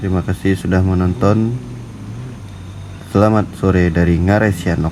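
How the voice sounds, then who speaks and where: A man with a very deep, low pitch and a Minangkabau accent, fairly even intonation, a moderate pace, long, frequent pauses and noticeable background noise. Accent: Minang. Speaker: travel vlogger. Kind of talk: casual travel vlog narration. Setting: outdoors.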